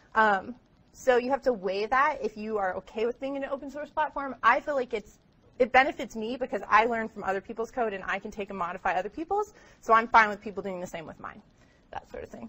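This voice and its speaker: Very fast speech from a woman, with big swings in loudness and ordinary pitch variation. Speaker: guest lecturer. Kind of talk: lecture. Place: classroom.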